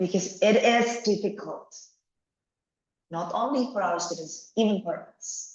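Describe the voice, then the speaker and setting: Somewhat breathy and medium in pitch, a woman with a Javanese accent speaks at a fairly slow pace with ordinary pitch variation and long, frequent pauses. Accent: Indonesian (Javanese) English. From Indonesia, Java. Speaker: education lecturer. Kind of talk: lecture. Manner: animated.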